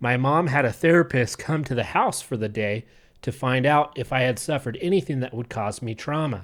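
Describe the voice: The clip consists of plain reading aloud.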